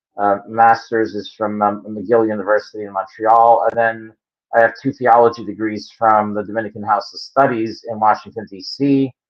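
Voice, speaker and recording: In a Philadelphia accent, a man talks at a moderate pace, medium in pitch with monotone, flat intonation. His loudness swings widely. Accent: Philadelphia American. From Philadelphia, US. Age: 60s. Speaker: creationist geologist. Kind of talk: interview answers. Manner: halting, many fillers.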